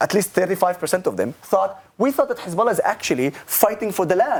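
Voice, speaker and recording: A man with an Arabic accent speaks fairly quickly at a high pitch, his voice making very wide pitch swings. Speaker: political advocate, army veteran. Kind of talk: talk show interview.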